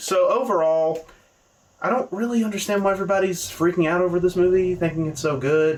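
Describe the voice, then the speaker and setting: High-pitched and lively in intonation, a man speaks with a Southern US accent. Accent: understated Southern US. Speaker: movie reviewer. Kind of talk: casual video review. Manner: casual, conversational.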